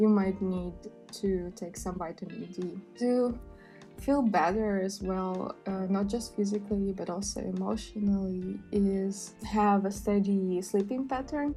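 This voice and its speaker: Music plays in the background as a woman speaks at a medium pitch and a fairly slow pace with fairly even intonation. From Russia. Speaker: sustainability and mental health vlogger. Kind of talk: casual talk to camera.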